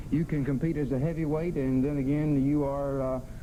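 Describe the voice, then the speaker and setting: Monotone, flat delivery from a man with a fairly high pitch, against noticeable background noise. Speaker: wrestling TV host. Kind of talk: wrestling TV broadcast hosting.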